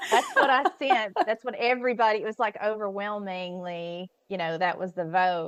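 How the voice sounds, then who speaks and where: A woman with an ordinary speaking voice talks at a moderate pace and medium pitch, with ordinary pitch variation and hardly any pauses. The sound is dry and close, with no echo. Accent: American. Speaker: professor and podcast host. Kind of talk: casual interview chat.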